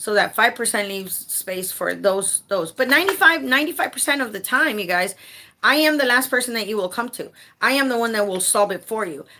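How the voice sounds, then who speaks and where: Over noticeable background noise, a woman talks at a fairly quick pace in a fairly high voice with very wide pitch swings. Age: 40s. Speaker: home care advocate and consultant. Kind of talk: casual livestream talk. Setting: livestream. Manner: animated, repetitive.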